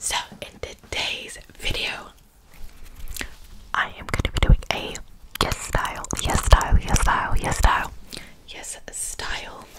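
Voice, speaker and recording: A woman whispers at a fairly slow pace. Long pauses come often between her words. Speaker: ASMR creator. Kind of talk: ASMR whispered unboxing. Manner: whispered. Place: home room. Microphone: studio mic.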